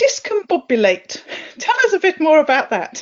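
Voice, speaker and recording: Her voice, a woman's, swings very widely in pitch. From southern England. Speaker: podcast host. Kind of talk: podcast interview.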